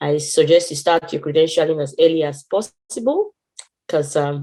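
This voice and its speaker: Speaking fairly quickly in a Nigerian accent, a woman has a fairly low pitch, a dark, mellow tone and fairly even intonation. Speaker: internationally trained physiotherapist. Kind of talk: testimony with advice in online meeting. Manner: halting, many fillers and restarts.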